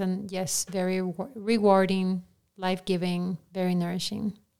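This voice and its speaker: Her pace is fairly slow and her intonation monotone and flat. The woman speaks in a Peruvian accent. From Peru, Lima. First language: Spanish. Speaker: director of formation at a ministry. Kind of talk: podcast interview.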